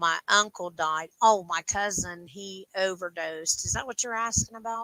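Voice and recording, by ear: A woman talks at a moderate pace with ordinary pitch variation and a medium pitch. Her tone is bright and sharp, and the sound is dry and close with no echo.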